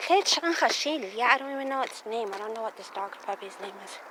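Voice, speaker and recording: Background noise is noticeable as a woman talks. She keeps a moderate pace and uses lively intonation. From Navajo Nation, Canyon de Chelly, Arizona. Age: 40s. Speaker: vlogger, storyteller. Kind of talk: casual oral storytelling while walking. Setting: outdoors walking a dog. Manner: halting, repetitive.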